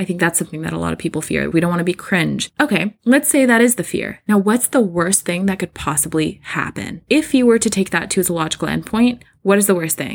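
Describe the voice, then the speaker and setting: On a very clean recording with a silent background, a woman speaks at a very fast pace. Her tone is animated, with vocal fry. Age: 30s. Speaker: podcast host. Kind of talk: solo monologue.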